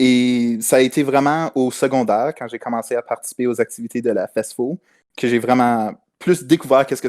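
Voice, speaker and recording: On a very clean recording with a silent background and dry, close sound with no echo, a man with an ordinary speaking voice talks fairly quickly at a medium pitch with ordinary pitch variation. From northern Ontario, Kirkland Lake. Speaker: university student. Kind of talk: podcast discussion.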